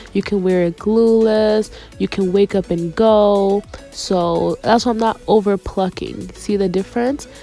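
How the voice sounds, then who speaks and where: Fairly slow speech with fairly even intonation over music in the background. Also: woman. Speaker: beautician, wig stylist. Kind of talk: hair tutorial talk to camera.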